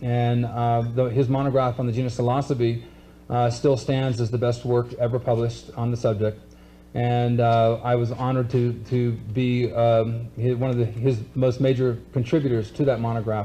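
Over light background noise, a man speaks at a moderate pace in a dark, mellow, somewhat breathy tone, his intonation monotone and flat and his loudness very even. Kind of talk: lecture. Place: stage. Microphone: podium.

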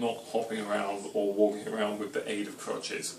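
There is light background noise and audible room echo. The pace is moderate. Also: man. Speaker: home cooking show host. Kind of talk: casual vlog chat. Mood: wry self-mocking humour. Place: kitchen. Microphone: camera far.

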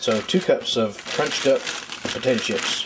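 A man is talking. His pace is moderate. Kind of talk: casual cooking vlog chat. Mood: relaxed, warm. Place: kitchen.

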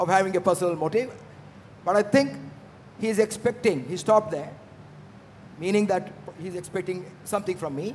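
A man with an Indian accent at a very fast pace, over light background noise. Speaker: aviation entrepreneur; speaker. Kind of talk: panel discussion. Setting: stage with audience. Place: hall. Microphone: handheld.

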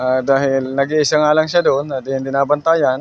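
Moderately paced speech from a man, fairly high in pitch. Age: 30s. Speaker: vlogger and pandesal vendor. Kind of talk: casual vlog monologue. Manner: halting, many fillers.

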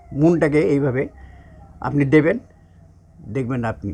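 With a dark, mellow tone, a man talks at a fairly high pitch. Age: 70s. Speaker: yoga teacher. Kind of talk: lecture. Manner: halting.

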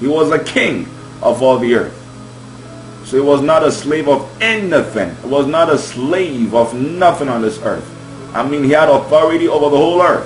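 A man talks at a moderate pace with ordinary pitch variation. Audible room echo and faint background music are present. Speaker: preacher. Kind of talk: sermon. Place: home room. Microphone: webcam.

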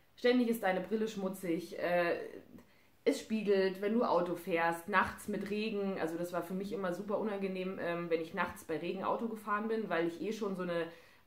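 Fairly even in intonation, the voice moves at a moderate pace amid audible room echo. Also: woman. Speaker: vlogger. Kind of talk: casual vlog chat. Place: home room. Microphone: camera far.

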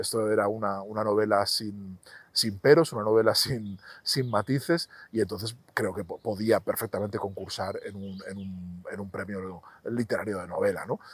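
A man with a fairly low pitch talks at a moderate pace with fairly even intonation. His loudness swings widely, in a dry sound with no echo. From Spain, Zaragoza; Spain. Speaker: novelist; interviewee. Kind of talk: interview monologue about his books. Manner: halting, many repetitions and fillers. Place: garden. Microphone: lapel.

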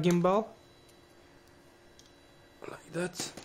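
Fairly slow speech over light background noise. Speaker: hobbyist drone builder. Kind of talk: casual project demo to camera. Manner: hesitant. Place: home room.

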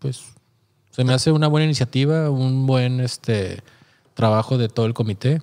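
A man's dark, mellow voice with ordinary pitch variation against a quiet background. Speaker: photographer podcast co-host. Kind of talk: casual chat. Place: studio. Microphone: studio mic.

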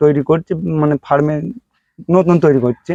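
This man has a fairly high pitch, a dark, mellow tone and fairly even intonation, recorded with a dry, close sound with no echo. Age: 40s. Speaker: sheep farmer. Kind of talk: casual interview answers.

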